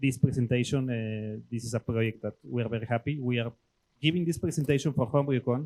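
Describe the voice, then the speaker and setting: A man with a Mexican accent, medium pitch and a dark, mellow tone, at a fairly quick pace, in a dry, close sound with no echo. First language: Spanish. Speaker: brewing industry professional. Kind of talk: presentation. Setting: club meeting with audience. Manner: hesitant, many fillers.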